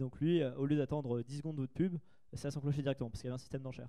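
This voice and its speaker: At a very fast pace, a man with a dark, mellow tone speaks with fairly even intonation. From France, Paris region (Trappes). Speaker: entrepreneur, conference speaker. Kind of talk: conference Q&A talk. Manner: casual, hesitant fillers.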